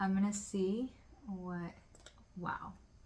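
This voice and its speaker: A woman is speaking. Her voice is loud. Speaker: podcast host. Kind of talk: casual chat. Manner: loud, projecting voice.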